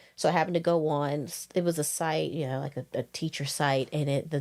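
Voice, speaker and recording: Talking very fast in a strong Southern US accent, a woman uses very deep, low pitch and fairly even intonation in a very clean recording with a silent background. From northwest Louisiana, near Texas and Arkansas border. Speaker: high school orchestra teacher. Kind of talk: podcast interview.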